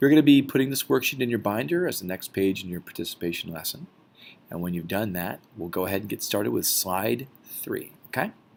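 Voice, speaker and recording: Fairly low in pitch, a man talks at a fairly quick pace with very wide pitch swings. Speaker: teacher. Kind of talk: recorded lesson screencast. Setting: recorded video presentation. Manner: fast.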